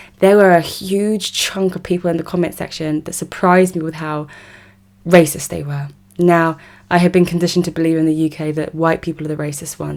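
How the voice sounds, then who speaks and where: A woman with an English accent speaks at a fairly quick pace in a fairly low pitch and a monotone, flat intonation, on a very clean recording with a silent background. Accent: English accent, very obvious. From South West London, England. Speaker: political commentator. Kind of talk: monologue vlog commentary.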